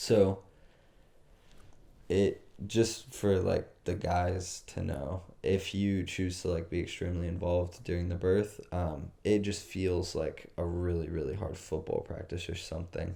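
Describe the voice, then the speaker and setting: A man with a very deep, low pitch and a dark, mellow tone speaks fairly slowly, somewhat breathy, with fairly even intonation. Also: very clean recording, silent background. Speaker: podcast co-host. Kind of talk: casual chat.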